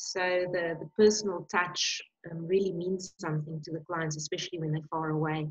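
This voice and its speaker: A woman speaks fairly quickly in a fairly low pitch, her intonation flat and monotone. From South Africa, Johannesburg. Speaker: winery sales and marketing manager. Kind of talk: interview.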